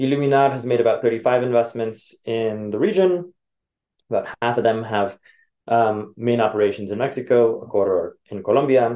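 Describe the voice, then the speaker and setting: Speaking at a moderate pace with a Californian accent, a man uses medium pitch and ordinary pitch variation. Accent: Californian American English. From US, Los Angeles. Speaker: venture capital investor. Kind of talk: interview. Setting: office. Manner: hesitant, many fillers.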